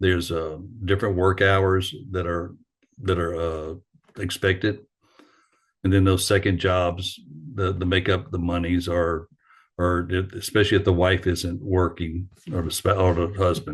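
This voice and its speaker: A man with a very deep, low pitch speaks in a somewhat breathy, monotone way at a moderate pace, with long, frequent pauses over a quiet background. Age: 60s. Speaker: retired firefighter. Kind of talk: lecture. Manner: halting.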